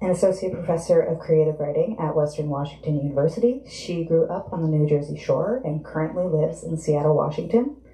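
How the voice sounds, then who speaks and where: Over audible room echo, a man talks at a very fast pace with hardly any pauses and ordinary pitch variation. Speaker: bookstore event coordinator. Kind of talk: event introduction. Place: shop.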